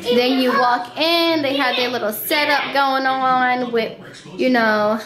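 Over noticeable background noise, a woman speaks at a high pitch and a very slow pace. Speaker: parent vlogger. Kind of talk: casual vlog chat. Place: home room. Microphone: phone near.

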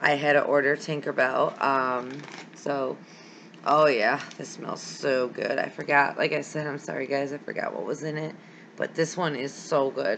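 Over light background noise, a woman with a very deep, low pitch talks at a moderate pace. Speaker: candle wax hobby vlogger. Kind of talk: casual vlog chat. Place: home room. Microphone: webcam.

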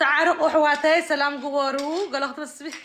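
A woman speaks at a fairly slow pace. Her voice is high-pitched. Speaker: YouTuber. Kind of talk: live stream chat. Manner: animated.

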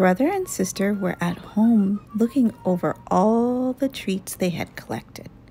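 In a natural reading voice, the speech carries ordinary pitch variation.

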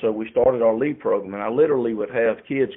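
A man talks at a medium pitch with a Southern US accent. His pace is very fast. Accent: Southern US (Georgia). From US South, rural Georgia. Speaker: insurance company founder. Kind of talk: interview.

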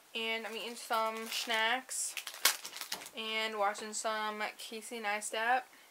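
Light noise sits behind the voice. The speaker is a woman. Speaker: vlogger. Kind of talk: casual vlog chat. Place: home room. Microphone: webcam.

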